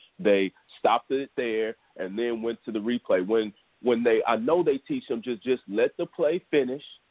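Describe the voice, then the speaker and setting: Speaking at a moderate pace, a man with an unremarkable speaking voice keeps a medium pitch and ordinary pitch variation. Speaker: podcast host. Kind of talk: casual banter podcast. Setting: live internet radio show. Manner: casual, joking.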